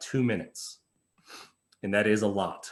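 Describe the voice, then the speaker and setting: In an unremarkable speaking voice, a man talks at a fairly slow pace with a medium pitch and fairly even intonation, captured in a very clean recording with a silent background. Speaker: police officer. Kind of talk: presentation at community meeting.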